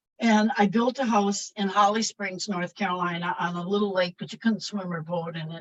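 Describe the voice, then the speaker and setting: Somewhat breathy, with an American accent, this voice has ordinary pitch variation and a dry, close sound with no echo. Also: woman. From US Midwest, rural Wisconsin. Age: 70s. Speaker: motivational speaker and former therapist. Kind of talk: interview.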